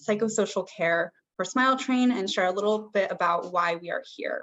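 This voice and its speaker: In a normal speaking voice with an American accent, a woman talks at a medium pitch and moderate pace, with ordinary pitch variation. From US. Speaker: cleft care program manager. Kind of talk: webinar presentation. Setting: live video stream.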